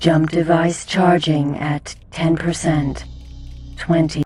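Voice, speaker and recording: A put-on character voice speaks at a middle pitch and very slow pace. Music is clearly audible in the background. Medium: video game. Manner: flat, monotone.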